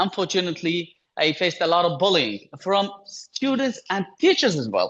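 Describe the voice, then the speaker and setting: A man speaks with a Kurdish accent. His pitch is high. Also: lively intonation, moderate pace. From Iraq (Yazidi, Kurdish-speaking, raised in Baghdad). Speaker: human rights organization founder. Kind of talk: webinar talk. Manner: halting, with repetitions and fillers.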